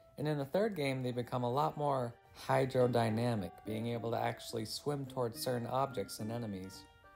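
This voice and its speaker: A medium-pitched male voice at a moderate pace, with ordinary pitch variation and music in the background. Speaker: video game reviewer. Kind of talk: casual commentary narration.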